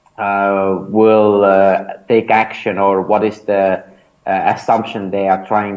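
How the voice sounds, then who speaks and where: A man speaks in an Estonian accent at a moderate pace. His fairly low pitch stays monotone and flat. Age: 30s. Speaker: startup founder and mentor. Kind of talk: interview. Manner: hesitant, many fillers.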